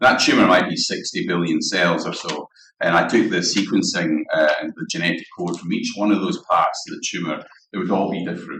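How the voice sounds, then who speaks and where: A fairly quick delivery in a Scottish accent. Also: man. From Scotland, Dundee. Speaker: guest lecturer, cancer researcher. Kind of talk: lecture. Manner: halting, many fillers.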